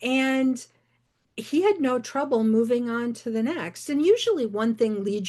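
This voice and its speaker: A woman with an American accent has a plain, everyday voice, fairly high in pitch with ordinary pitch variation. She speaks at a moderate pace over a quiet background. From rural northeastern Michigan. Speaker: novelist. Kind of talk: interview.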